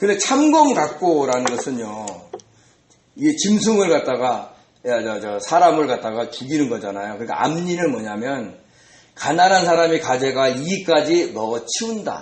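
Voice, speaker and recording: A man's fairly high voice with very wide pitch swings, at a moderate pace, in audible room echo. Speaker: pastor. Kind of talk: sermon. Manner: conversational, rhetorical questions.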